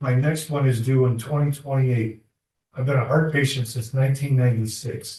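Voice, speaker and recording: At a fairly quick pace, a man of medium pitch speaks in a somewhat breathy voice with monotone, flat intonation. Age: 70s. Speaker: defendant. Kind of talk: courtroom testimony. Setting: courtroom.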